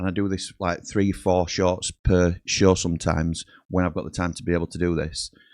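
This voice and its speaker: A man talks at an even, moderate speed, and the recording is very clean, with total silence behind him. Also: dry, close sound with no echo. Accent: Yorkshire. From Yorkshire, England. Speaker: football fan channel host. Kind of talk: casual solo livestream chat. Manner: casual, rambling with frequent fillers.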